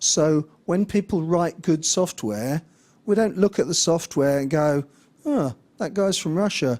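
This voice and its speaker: A man with a high pitch and lively intonation speaks at a fairly slow pace on a very clean recording with a silent background. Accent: English. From England. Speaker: conference speaker, software developer. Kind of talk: conference talk. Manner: hesitant, many fillers.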